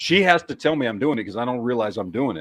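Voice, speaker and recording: Lively intonation marks this man's medium-pitched voice. He speaks with an American accent. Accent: Texas accent, comes out at times. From Texas. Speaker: podcast host. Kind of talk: casual chat. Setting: livestream with co-hosts.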